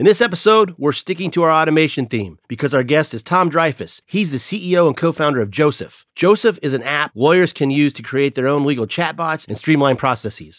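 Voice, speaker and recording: A man with an unremarkable speaking voice talks at a fairly quick pace in a fairly high pitch, with lively intonation and hardly any pauses, on a very clean recording with a silent background. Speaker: podcast host. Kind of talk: podcast interview.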